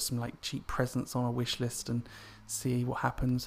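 A man speaks with an English accent. His voice sits at a medium pitch. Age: 30s. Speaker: podcaster. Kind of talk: personal monologue. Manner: hesitant, many fillers.

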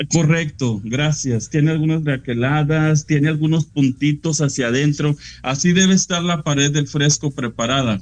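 A man with a fairly high pitch talks at a moderate pace, his pitch varying in an ordinary way and his loudness staying very even. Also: hardly any pauses. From Mexico, Frontera/Monclova, Coahuila. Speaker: painter. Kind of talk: interview. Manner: halting.

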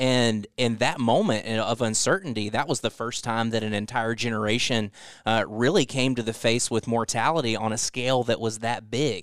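In an ordinary speaking voice, this speaker keeps a moderate pace and fairly even intonation over a quiet background. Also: man, medium pitch for a man. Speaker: next generation pastor. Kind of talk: casual chat.

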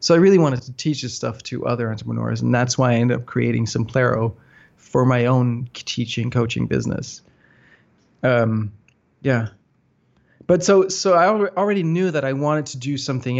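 This man talks at a fairly quick pace with a Danish accent. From Denmark, north of Copenhagen. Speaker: software entrepreneur. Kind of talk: interview.

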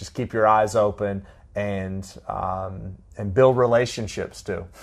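With an American accent, a man uses an ordinary speaking voice at a fairly low pitch, talking at a fairly slow pace with fairly even intonation. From Florida (Tallahassee). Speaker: sociology lecturer. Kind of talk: interview.

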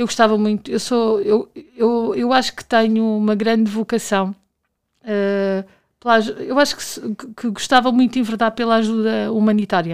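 Against a silent background in a very clean recording, a woman with a fairly high pitch speaks at a moderate pace with fairly even intonation but big swings in loudness. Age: 40s. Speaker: university administrator. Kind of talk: interview. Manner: hesitant, with repetitions.

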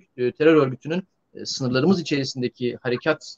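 Here a man speaks fairly quickly at a fairly high pitch. It is an ordinary speaking voice. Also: dry, close sound with no echo. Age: 40s. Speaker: defense analyst. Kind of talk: live online discussion.

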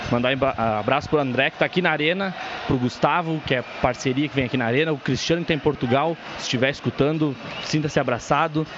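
With noticeable background noise behind him, a man speaks very fast in a fairly high pitch and with ordinary pitch variation. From northwestern Rio Grande do Sul, Brazil. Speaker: fan guest commentator. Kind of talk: casual commentary.

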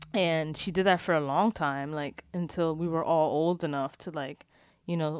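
A woman at a fairly low pitch with a plain, everyday voice, speaking at a moderate pace in a very clean recording with a silent background. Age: 20s. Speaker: podcast co-host, graduate student. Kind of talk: casual chat. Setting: at home in bed.

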